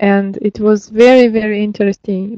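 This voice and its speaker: A woman's fairly high voice with a Russian accent, fairly even intonation and a moderate pace, dry and close with no echo. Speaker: lecturer. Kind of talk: lecture. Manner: hesitant, many fillers.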